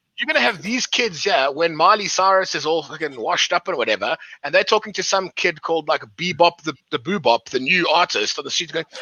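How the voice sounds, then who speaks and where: Animated and at a fairly quick pace, a man speaks in a high pitch with ordinary pitch variation and hardly any pauses. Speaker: podcast co-host. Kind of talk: casual chat.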